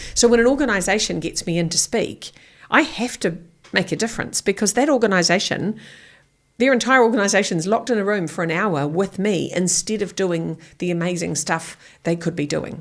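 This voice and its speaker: Lively intonation marks this fairly quick delivery in a New Zealand accent. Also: woman, medium pitch for a woman. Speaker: keynote speaker. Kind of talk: podcast interview answer. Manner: blunt.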